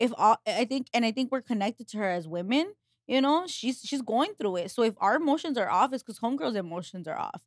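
With very wide pitch swings, a woman talks at a very fast pace and fairly high pitch in a dry, close sound with no echo. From Mexico. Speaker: podcast co-host. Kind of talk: casual chat.

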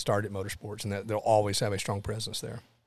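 Intonation is monotone and flat, in a Tennessee accent. The recording is very clean, with a silent background. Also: man. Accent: Southern US (Tennessee). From Tennessee, Lawrenceburg. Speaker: motorsport event executive. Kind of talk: casual interview.

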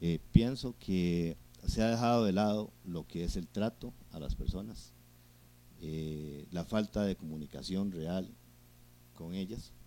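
Very slow speech comes from a man with a very deep, low pitch and a dark, mellow tone. His pitch variation is ordinary. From Costa Rica, Juan Viñas (Cartago). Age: 50s. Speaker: local mayoral candidate. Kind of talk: interview.

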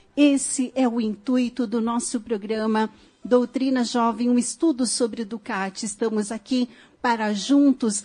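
Against a quiet background, a woman with a fairly high pitch and a dark, mellow tone speaks at a fairly slow pace with fairly even intonation. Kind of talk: radio talk show. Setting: radio studio.

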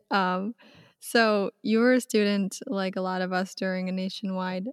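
A woman with a normal speaking voice talks at a moderate pace and medium pitch, her intonation fairly even. The recording is very clean with a silent background and a dry, close sound with no echo. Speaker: student podcast host. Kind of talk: interview.

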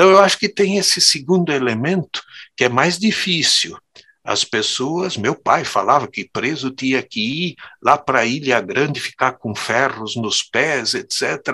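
This man has a bright, sharp tone and a fairly high pitch. He talks at a fairly slow pace with lively intonation. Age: 60s. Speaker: theologian and professor. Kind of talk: interview conversation.

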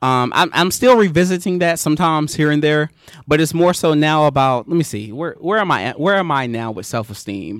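A man with an unremarkable speaking voice talks at a fairly quick pace, his fairly high pitch moving in lively intonation. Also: very clean recording, silent background. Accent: American. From eastern North Carolina, US South. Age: 20s. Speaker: photographer. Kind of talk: casual interview. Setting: outdoors.

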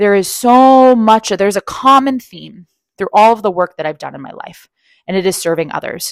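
A woman's plain, everyday voice, fairly high-pitched, at a moderate pace, with a dry, close sound and no echo on a very clean recording over a silent background. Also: lively intonation. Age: 30s. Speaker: career coach, podcast host. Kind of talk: solo monologue, personal storytelling.

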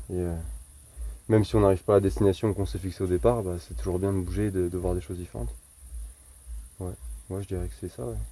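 A man's very deep, low, somewhat breathy voice with a dark, mellow tone and very wide pitch swings, very fast in pace yet with long, frequent pauses. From Charente, western France. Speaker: farrier. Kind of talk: casual chat.

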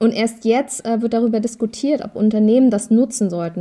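A woman's fairly high-pitched voice with a dark, mellow tone, ordinary pitch variation and a moderate pace. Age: 30s. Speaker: talent manager for influencers. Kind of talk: casual chat.

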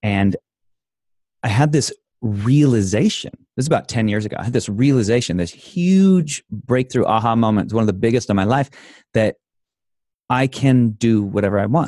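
With an American accent and a dark, mellow tone, a man speaks with long, frequent pauses over a quiet background, the sound dry and close with no echo. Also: medium pitch for a man, lively intonation, moderate pace. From Idaho, US. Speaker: life coach and inspirational speaker. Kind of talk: casual interview.

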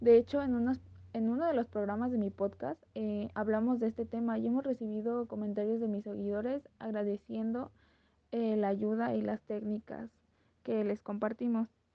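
Her intonation fairly even, a woman talks at a moderate pace with a fairly high pitch. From Mexico. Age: 20s. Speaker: podcaster and influencer. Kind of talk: casual interview.

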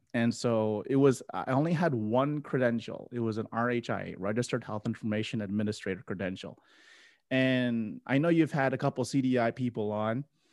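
On a very clean recording with a silent background, a man speaks at a moderate pace with medium pitch and ordinary pitch variation. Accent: American. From South Florida, US. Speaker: medical coding educator and podcaster. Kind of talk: casual interview conversation. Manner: halting, many fillers and repeats.

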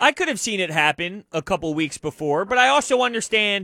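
A man uses a raised, projected voice with a bright, sharp tone and lively intonation. The sound is dry and close with no echo, in a very clean recording with a silent background. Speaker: sports radio co-host. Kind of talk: sports talk radio. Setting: radio studio. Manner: loud.

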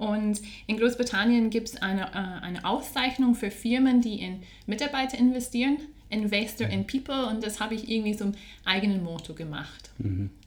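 At a fairly high pitch, a woman speaks at a moderate pace with ordinary pitch variation. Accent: Scottish. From Scotland. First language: English (speaking German). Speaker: HR training specialist. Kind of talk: interview.

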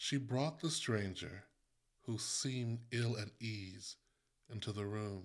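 The clip carries a natural reading voice.

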